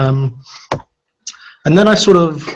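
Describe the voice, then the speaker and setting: In a London accent, a man talks in a fairly high, somewhat breathy voice with ordinary pitch variation. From London, England. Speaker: software consultant and conference speaker. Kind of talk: technical talk. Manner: fast when excited.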